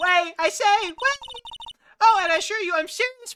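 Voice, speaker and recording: Putting on a squeaky character voice, a woman speaks at a moderate pace with lively intonation and an extremely high pitch. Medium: virtual streamer. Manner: coy, sugary.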